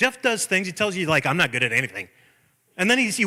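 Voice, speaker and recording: Very fast and raised, the projected voice sounds animated and bright with a sharp tone and very wide pitch swings. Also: man. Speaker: pastor. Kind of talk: sermon. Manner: loud.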